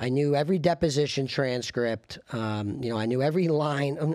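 A man with a normal speaking voice talks at a moderate pace with fairly high pitch and ordinary pitch variation. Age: 30s. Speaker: trial lawyer. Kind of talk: interview.

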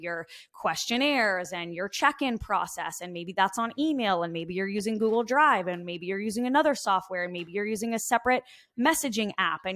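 With an American accent, a woman talks at a fairly quick pace, her medium pitch carried by lively intonation. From Long Island, New York. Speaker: fitness coach and software co-founder. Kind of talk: interview.

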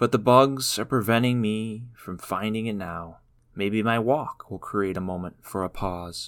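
Very clean and silent in the background, this recording features a man with an American accent in an unremarkable speaking voice. He talks at a fairly slow pace with a fairly low pitch and ordinary pitch variation. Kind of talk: poem performed, spoken word. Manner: slow, reflective, measured.

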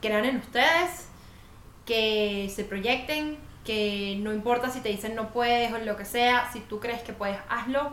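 A very slow delivery with a Caracas accent and ordinary pitch variation, plus audible room echo and noticeable background noise. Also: woman. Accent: Venezuelan Spanish (Caracas). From Venezuela, Caracas. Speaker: podcast co-host. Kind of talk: casual chat. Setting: home studio.

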